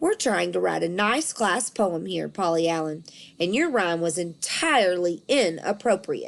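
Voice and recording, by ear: At a fairly slow pace, a put-on character voice with vocal fry rises and falls in lively intonation. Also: woman, fairly low pitch for a woman.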